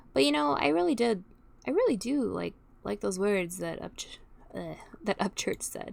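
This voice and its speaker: Speaking in an American accent, a woman keeps to a moderate tempo. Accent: slight southern accent, sometimes comes out. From Texas. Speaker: youtuber reacting to music. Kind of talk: casual reaction commentary. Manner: halting.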